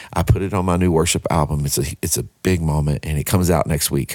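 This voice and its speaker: A man's very deep, low voice in a Texan accent, with ordinary pitch variation. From Texarkana, Texas. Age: 40s. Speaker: worship pastor and songwriter. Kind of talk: casual interview.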